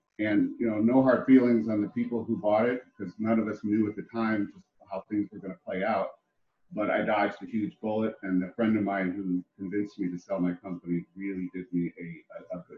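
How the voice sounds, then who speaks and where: A man talks at a fairly quick pace in an unremarkable speaking voice. His pitch sits fairly low, with ordinary pitch variation. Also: big swings in loudness. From Ohio. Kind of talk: interview.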